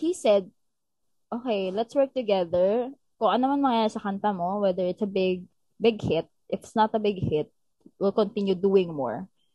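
A woman's speech moves at a moderate pace with ordinary pitch variation. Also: medium pitch for a woman. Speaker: singer. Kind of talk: casual chat. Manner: animated.

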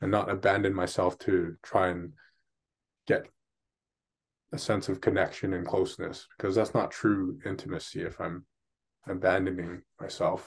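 A man speaks at a moderate pace with long, frequent pauses against a quiet background. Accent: Canadian. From Canada, Vancouver. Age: 30s. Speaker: life coach. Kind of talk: interview, personal story.

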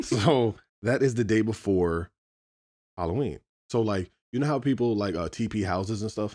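In an American accent, a man with a fairly low pitch and a dark, mellow tone talks at a moderate pace. His pitch varies in an ordinary way, and he leaves long, frequent pauses. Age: 30s. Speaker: podcast co-host. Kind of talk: casual chat.

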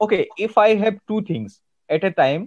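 Lively intonation marks this man's speech. He has an Indian accent and a moderate pace. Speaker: soft skills trainer and podcast host. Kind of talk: interview. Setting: video call. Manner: halting, many filler words.

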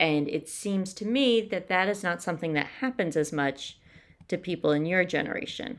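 This is a plain, everyday voice with lively intonation. The pace is moderate. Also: woman, fairly low pitch for a woman. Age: 50s. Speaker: podcast co-host. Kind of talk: casual chat.

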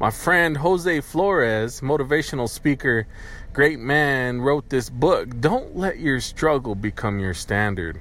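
A man with an American accent talks at a fairly slow pace. His voice is fairly high, with lively intonation. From US, poor rural county. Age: 30s. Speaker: podcaster. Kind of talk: solo monologue. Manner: casual, halting.

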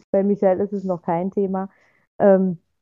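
Her pitch is medium for a woman. She delivers everything in a flat monotone. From Saxony-Anhalt, near Magdeburg. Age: 20s. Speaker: podcast co-host, mother. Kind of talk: casual chat.

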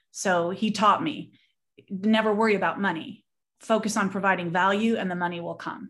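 A woman speaks in a Southern Californian accent at a moderate pace. The recording is very clean, with a silent background. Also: medium pitch for a woman, ordinary pitch variation. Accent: Southern California American. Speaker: business woman guest. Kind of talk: casual interview chat.

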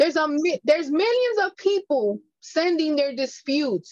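A woman speaks with a New York accent and very wide pitch swings. The sound is dry and close, with no echo. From New York, Bronx. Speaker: credit repair consultant. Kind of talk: interview.

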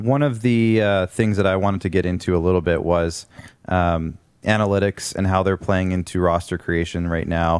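The recording is very clean with a silent background, and a man speaks at a moderate pace in a very deep, low pitch. His intonation is fairly even and his loudness very even. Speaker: podcast host. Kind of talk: casual sports talk show. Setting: studio.

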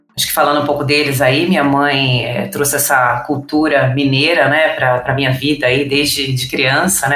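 A woman speaks at a moderate pace in a very deep, low voice with flat, monotone intonation. Noticeable background noise and audible room echo surround her. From São Paulo city, Brazil. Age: 40s. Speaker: tech company director. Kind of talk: interview conversation.

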